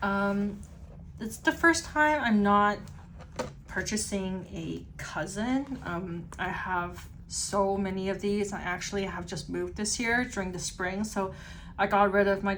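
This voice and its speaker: A quiet woman at a medium pitch and fairly slow pace, with ordinary pitch variation and audible room echo. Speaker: stationery YouTuber. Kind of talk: unboxing review. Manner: casual, filler-heavy; slightly quieter, pulled away.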